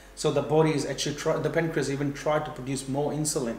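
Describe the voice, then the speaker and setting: A man's fairly high, monotone, flat voice with audible room echo. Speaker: fitness and nutrition educator. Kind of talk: tutorial. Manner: fast; halting.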